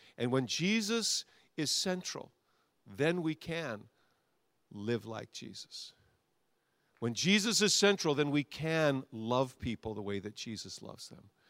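In a very clean recording with a silent background, a man with a fairly high voice speaks at a fairly slow pace with long, frequent pauses, very wide pitch swings and big swings in loudness. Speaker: pastor. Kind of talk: sermon closing with prayer and worship call. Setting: church with congregation and worship band. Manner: fervent, urgent, exhorting, with repeated phrases; commanding, directing the congregation.

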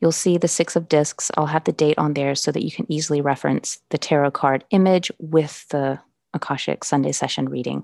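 Fairly quick speech with fairly even intonation has a dry, close sound with no echo and a quiet background. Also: woman, very deep, low pitch for a woman. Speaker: podcast host and Akashic records reader. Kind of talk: solo podcast monologue with channeled spiritual message. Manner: self-conscious about stumbling or slurring when channeling.

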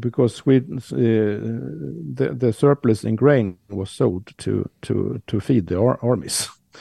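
Dry and close with no echo, a man's fairly low voice carries a dark, mellow tone in a Swedish accent. He speaks at a very slow pace with very wide pitch swings. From Sweden. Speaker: historian of science. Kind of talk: casual chat. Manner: halting.

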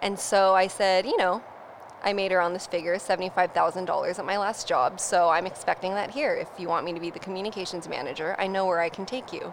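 With a Californian accent, a woman talks very fast at a medium pitch and with fairly even intonation, amid noticeable background noise. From US West Coast, North San Diego. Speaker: brand storyteller. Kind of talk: casual interview chat. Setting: studio.

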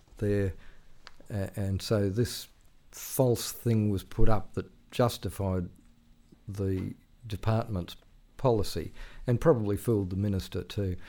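With an Australian accent, a man speaks at a fairly slow pace in a fairly low pitch and a dark, mellow tone, with long, frequent pauses, on a very clean recording with a silent background. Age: 60s. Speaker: veteran journalist. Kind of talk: casual interview. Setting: studio. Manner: halting, with repeated words.

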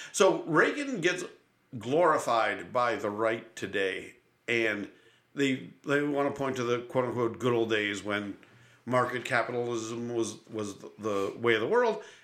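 A man with an American accent talks at a medium pitch and a fairly slow pace. His pitch varies in an ordinary way, and the room echo is audible. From Buffalo, New York. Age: 50s. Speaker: podcast host and comedian. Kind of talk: casual chat. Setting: studio.

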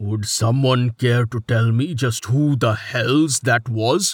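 In a put-on character voice at medium pitch, a man speaks fairly slowly with a dry, close sound and no echo. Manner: demanding, irritated.

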